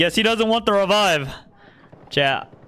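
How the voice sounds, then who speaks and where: A man talks at a moderate pace with lively intonation. Noticeable background noise runs behind him. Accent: American. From US, Arizona. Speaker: video game streamer. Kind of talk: live gameplay commentary and chat with viewers.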